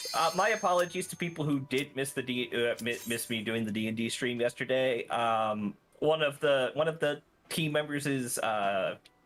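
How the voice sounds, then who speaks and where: Lively intonation and a moderate pace from a man with a normal speaking voice at medium pitch. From US South. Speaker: streamer. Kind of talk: casual chat.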